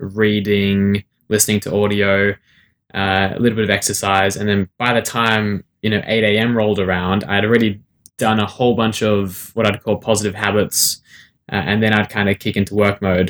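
In a dry, close sound with no echo, a man with an Australian accent speaks at a moderate pace, fairly low in pitch and with monotone, flat intonation. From Sydney, Australia. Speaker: author and motivational speaker. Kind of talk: interview.

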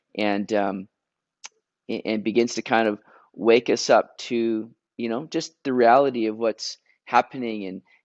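A man with a Canadian accent and an unremarkable speaking voice talks at a moderate pace with a medium pitch and fairly even intonation, in a dry, close sound with no echo and a quiet background. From Vancouver area, Canada. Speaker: pastor. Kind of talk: interview.

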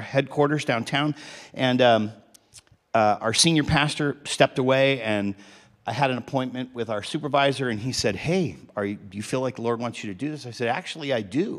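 The pace runs fairly quick and the pitch variation is ordinary. It is a normal speaking voice. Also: man. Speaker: pastor. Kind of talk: sermon introduction. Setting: church.

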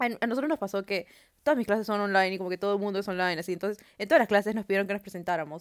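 The recording is very clean, with a silent background. A woman at medium pitch speaks at a very fast pace. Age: young. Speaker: podcast co-host, university student. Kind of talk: casual chat.

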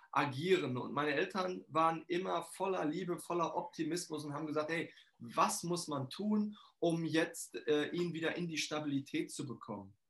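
In a high pitch and an energetic tone, a man talks at a moderate pace with ordinary pitch variation. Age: 40s. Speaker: financial coach and trainer. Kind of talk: interview.

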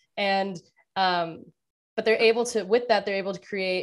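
With fairly even intonation, a woman talks in an unremarkable speaking voice on a very clean recording with a silent background. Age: 20s. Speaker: finance writer and content creator. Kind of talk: casual interview.

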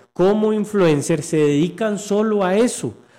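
A man's high voice with lively intonation, at a fairly slow pace. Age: 30s. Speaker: doctor and nutritionist. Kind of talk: casual chat.

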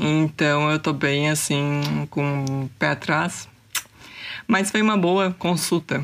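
A woman's very deep, low voice at a very slow pace, with long, frequent pauses, ordinary pitch variation and very even loudness. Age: 20s. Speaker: podcaster. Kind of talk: casual solo monologue. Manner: animated.

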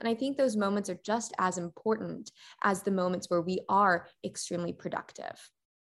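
A woman with an American accent has an unremarkable speaking voice, speaking at a moderate pace with ordinary pitch variation. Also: very clean recording, silent background. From Texas, McKinney. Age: 20s. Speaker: pageant queen and law graduate. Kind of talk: interview.

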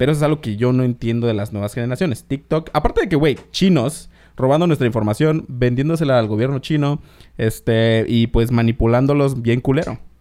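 Here a man speaks at a fairly quick pace with medium pitch and ordinary pitch variation. His tone is dark and mellow. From Mexico, Oaxaca, Isthmus of Tehuantepec. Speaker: podcast host. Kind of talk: casual chat.

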